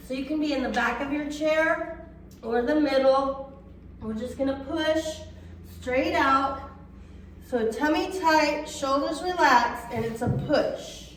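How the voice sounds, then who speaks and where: A woman with a high pitch speaks at a fairly slow pace with ordinary pitch variation and long, frequent pauses, amid noticeable background noise and audible room echo. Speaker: fitness instructor. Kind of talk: exercise class instruction.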